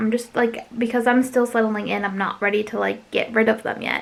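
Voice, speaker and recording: With noticeable background noise behind her, a woman talks very fast in a monotone, flat intonation. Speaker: craft YouTuber. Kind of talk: casual vlog chat. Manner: hesitant, many fillers.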